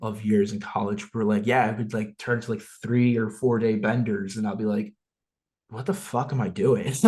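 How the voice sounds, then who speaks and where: With a slight New Jersey accent, a man speaks at a moderate pace in a medium pitch, his intonation fairly even. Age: 20s. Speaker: social media influencer. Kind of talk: casual chat.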